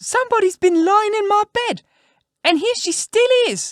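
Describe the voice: A squeaky, extremely high put-on character voice at a moderate pace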